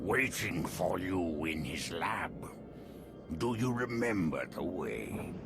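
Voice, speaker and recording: Over loud background noise, a man in a put-on character voice speaks at a very slow pace with a very deep, low pitch. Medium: machinima. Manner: smooth, insinuating.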